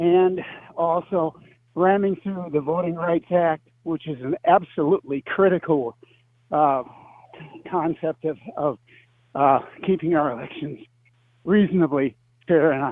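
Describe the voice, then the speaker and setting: At a high pitch, a man speaks fairly slowly with ordinary pitch variation and long, frequent pauses. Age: 80s+. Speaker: caller. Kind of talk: radio call-in question. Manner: halting.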